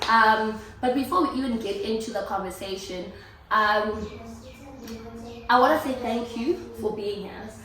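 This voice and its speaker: A woman speaks in an animated tone at a fairly slow pace with a fairly high pitch, ordinary pitch variation and long, frequent pauses, amid noticeable background noise and audible room echo. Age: late 20s to early 30s. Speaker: YouTube host. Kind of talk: casual chat. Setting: at home.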